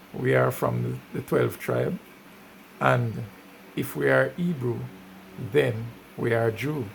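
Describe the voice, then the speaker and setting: Very slow, with long, frequent pauses, a man's fairly low voice makes very wide pitch swings against noticeable background noise. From Jamaica. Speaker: music reviewer. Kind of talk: casual commentary.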